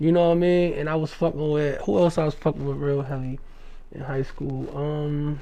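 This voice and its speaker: Speaking in an unremarkable speaking voice with an American accent, a man with a fairly high pitch keeps a moderate pace and fairly even intonation. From New Jersey, Jersey City. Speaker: rapper. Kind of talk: casual interview.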